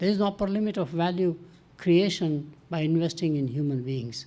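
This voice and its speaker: A man's high-pitched voice with a dark, mellow tone, lively intonation and a moderate pace. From Burma, then India. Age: 80s+. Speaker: professor. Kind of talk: panel talk.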